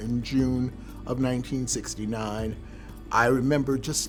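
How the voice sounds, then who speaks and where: Music plays in the background as a man speaks. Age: 70s. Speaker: LGBTQ+ rights activist. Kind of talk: interview answer.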